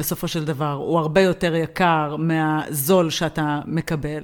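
A woman talks in a plain, everyday voice. Her pitch is fairly low and her pace moderate. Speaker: podcast co-host. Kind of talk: casual chat.

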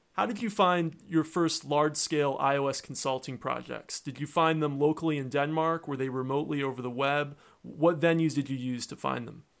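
With an American accent, a man talks in a normal speaking voice, fairly high-pitched, at a fairly quick pace with fairly even intonation, on a very clean recording with a silent background. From United States. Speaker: podcast host and iOS consultant. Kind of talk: interview.

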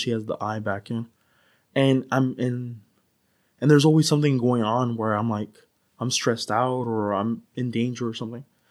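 In an American accent, a man with a normal speaking voice talks at a fairly quick pace, medium in pitch, with fairly even intonation. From US West Coast (San Diego, California). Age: 30s. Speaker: podcast guest. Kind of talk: casual chat; storytelling.

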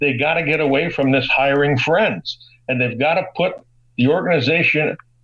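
Here is a man with an ordinary speaking voice and an American accent. He has a fairly high pitch and ordinary pitch variation. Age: 60s. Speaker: sports broadcaster. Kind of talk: casual chat.

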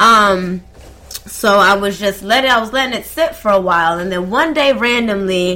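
A woman's lively intonation in an American accent, with noticeable background noise. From US South (Atlanta). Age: 20s. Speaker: DJ and radio host. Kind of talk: casual chat.

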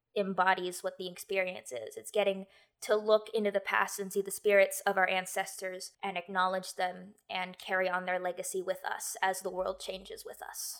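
A woman with an American accent, medium pitch and monotone, flat intonation at a moderate pace. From United States. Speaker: tabletop game writer and designer. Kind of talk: interview. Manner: halting.

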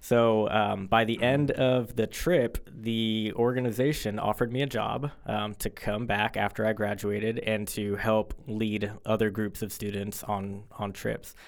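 An unremarkable speaking voice from a man, fairly low in pitch, with fairly even intonation and hardly any pauses. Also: fairly slow pace. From Florida, Fort Lauderdale. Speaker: high school English teacher. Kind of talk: casual interview. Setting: studio.

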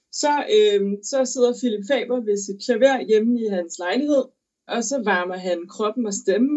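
A woman speaks at a fairly slow pace with lively intonation. Her pitch sits fairly high. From Denmark. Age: 20s. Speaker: opera singer. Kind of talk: interview. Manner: halting.

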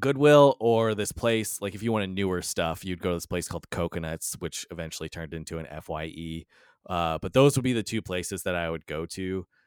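A man with an American accent speaks at a very deep, low pitch, with lively intonation, at a fairly quick pace with hardly any pauses. The sound is dry and close with no echo, on a very clean recording with a silent background. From US Midwest (southern Indiana). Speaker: podcast host. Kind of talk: casual chat.

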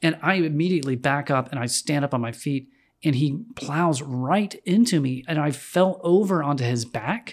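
At a moderate pace, a man with an American accent uses a normal speaking voice at a fairly high pitch with ordinary pitch variation, in a very clean recording with a silent background. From North Carolina, Winston-Salem. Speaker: musician and designer. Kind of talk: casual chat.

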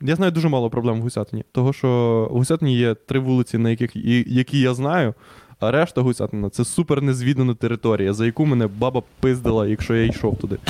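Recorded dry and close with no echo, a man of medium pitch and dark, mellow tone talks at a very fast pace with ordinary pitch variation. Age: 20s. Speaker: podcast co-host. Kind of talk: casual chat.

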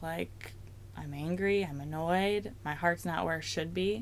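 A woman speaks at a fairly slow pace in a plain, everyday voice, her pitch fairly low. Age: 30s. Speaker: worship leader. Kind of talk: testimony.

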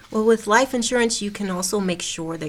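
Noticeable noise fills the background. Through it comes a woman's voice. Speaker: financial services assistant. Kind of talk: radio interview. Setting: studio.

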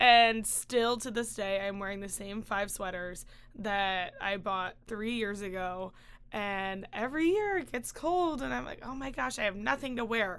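A woman with an unremarkable speaking voice talks at a fairly slow pace in an American accent, her pitch sitting in the medium range. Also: lively intonation. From Chicago. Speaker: student podcast co-host. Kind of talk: casual chat.

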